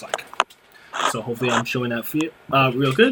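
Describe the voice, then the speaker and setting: Amid noticeable background noise, a man at medium pitch talks at a very fast pace with fairly even intonation. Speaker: student presenting classwork. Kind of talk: tutorial. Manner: halting, many fillers.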